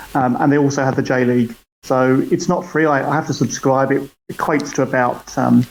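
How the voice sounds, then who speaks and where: This man has a British accent and a fairly high pitch, talking at a fairly quick pace. His loudness stays very even and his intonation fairly even. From UK. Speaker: football fan. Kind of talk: casual chat. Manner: halting.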